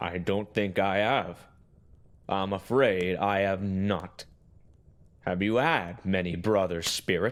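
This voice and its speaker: A put-on character voice moves at a fairly slow pace with long, frequent pauses on a very clean recording with a silent background. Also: man, fairly low pitch for a man. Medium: audio drama. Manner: cautious, dry.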